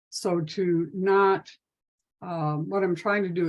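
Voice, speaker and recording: This woman has a plain, everyday voice, fairly low in pitch, with fairly even intonation. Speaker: domestic violence prevention trainer. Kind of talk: webinar presentation.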